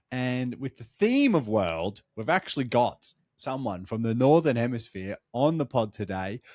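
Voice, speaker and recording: Recorded very cleanly against a silent background with a dry, close sound and no echo, a man with an Australian accent speaks at medium pitch with ordinary pitch variation. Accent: Australian, mocked in France. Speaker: podcast host. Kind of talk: casual chat.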